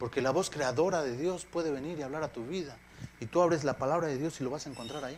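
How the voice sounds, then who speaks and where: Very fast speech comes from a man with a fairly high pitch. His pitch variation is ordinary. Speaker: pastor. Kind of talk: sermon. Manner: halting.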